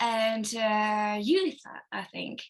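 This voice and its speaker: A woman speaks very slowly with a non-native accent, her fairly high voice bright and sharp in tone. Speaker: actress. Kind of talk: interview. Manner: halting.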